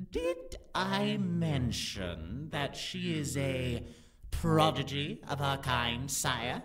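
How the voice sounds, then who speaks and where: Speaking very slowly in a put-on character voice with a low-to-middle pitch, the speaker is heard over light background noise. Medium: audio drama. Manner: deferential, calm.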